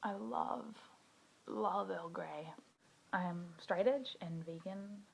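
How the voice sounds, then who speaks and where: A woman with an Australian accent speaks very slowly, her fairly low, somewhat breathy voice swinging very widely in pitch. Audible room echo surrounds her. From Western Australia, rural bush. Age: 20s. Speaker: video blogger, activist. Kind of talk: personal introduction monologue. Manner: casual with filler words.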